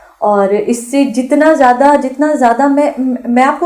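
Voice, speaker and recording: Here a woman speaks at a high pitch. Background noise is noticeable. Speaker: actress and voice artist. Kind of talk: radio interview. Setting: radio studio. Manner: sweet-toned.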